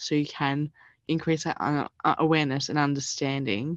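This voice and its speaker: Speaking with an Australian accent, a woman has a very deep, low pitch and a monotone, flat intonation at a moderate pace. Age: 20s. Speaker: university student. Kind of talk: interview.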